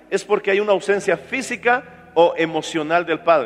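Against noticeable background noise, the speaker goes at a moderate pace with ordinary pitch variation. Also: man. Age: 40s. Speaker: pastor. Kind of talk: sermon.

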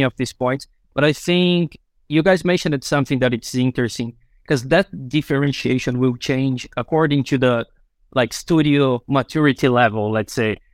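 In a very clean recording with a silent background and a dry, close sound with no echo, a man with a Brazilian accent speaks at medium pitch, with ordinary pitch variation and a moderate pace. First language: Portuguese. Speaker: UX designer. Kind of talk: panel discussion.

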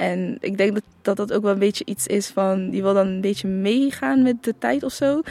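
This voice belongs to a woman. It has a medium pitch. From Netherlands, The Hague region, Moroccan family. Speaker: formerly homeless young person. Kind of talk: interview testimony. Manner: halting.

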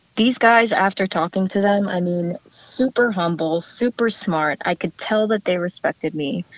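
A woman with an unremarkable speaking voice and an American accent, medium pitch, ordinary pitch variation, a moderate pace with hardly any pauses, and a dry, close sound with no echo. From New Jersey, US. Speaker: startup co-founder. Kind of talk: interview.

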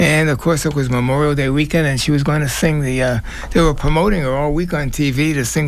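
A man's speech comes at a moderate pace, with noticeable background noise behind it. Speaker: radio host. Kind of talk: radio show hosting. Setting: studio. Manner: halting.

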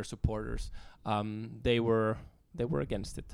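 In a very clean recording with a silent background, a man with a Finnish accent speaks at a moderate pace and medium pitch. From Finland. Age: 30s. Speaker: author and activist. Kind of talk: casual interview. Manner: hesitant, many fillers.

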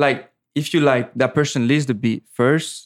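Someone speaks in a French accent with monotone, flat intonation. The recording is very clean, with a silent background and a dry, close sound with no echo. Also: man. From French Caribbean island. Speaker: music producer. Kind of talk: casual podcast interview. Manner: casual, slangy.

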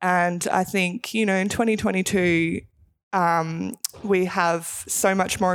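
Over a silent background in a very clean recording, a woman with an Australian accent talks at medium pitch with fairly even intonation. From Melbourne, Australia. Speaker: retired basketball player and police officer. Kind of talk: radio interview.

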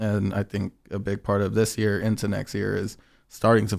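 With vocal fry and a fairly low pitch, a man talks in a very clean recording against a silent background. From Inland Empire, Southern California. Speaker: artist liaison and DJ. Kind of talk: casual chat. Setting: studio.

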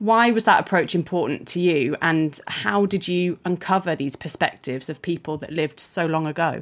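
Speaking at a moderate pace with hardly any pauses, a woman with an unremarkable speaking voice and a fairly low pitch uses ordinary pitch variation. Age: 30s. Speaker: podcast host. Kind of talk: interview.

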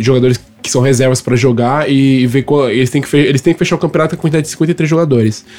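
A man talks fairly quickly at a medium pitch, his intonation fairly even, with clear background noise around him. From Brazil. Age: 30s. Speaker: podcast co-host, amateur American football player. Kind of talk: casual chat.

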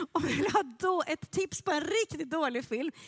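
A woman talks at a fairly slow pace in an animated tone, with very wide pitch swings. The sound is dry and close, with no echo. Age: 40s. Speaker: pastor. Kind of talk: sermon.

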